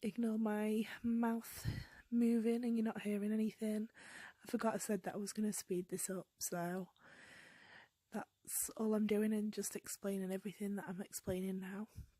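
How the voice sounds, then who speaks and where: With a British accent, a woman talks at a moderate pace in a fairly high, somewhat breathy voice that is dark and mellow in tone, her intonation monotone and flat, the sound dry and close with no echo. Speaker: beauty vlogger. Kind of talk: makeup tutorial voiceover. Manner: casual, with filler ums.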